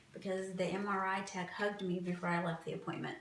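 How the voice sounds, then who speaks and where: Speaking at a moderate pace with fairly even intonation, a woman with a fairly low pitch is heard through audible room echo and noticeable background noise. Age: 40s. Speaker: cancer patient. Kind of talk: interview testimony.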